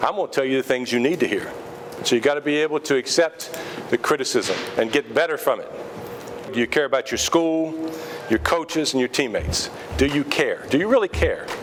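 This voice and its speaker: Pausing long and often despite a fairly quick pace, a man speaks at a fairly high pitch with ordinary pitch variation over noticeable background noise. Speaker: high school basketball coach. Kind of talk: team speech. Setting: restaurant. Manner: loud.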